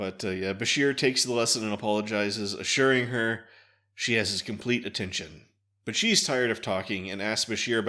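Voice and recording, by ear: Over a quiet background, the speaker is reading aloud in a natural voice with ordinary pitch variation.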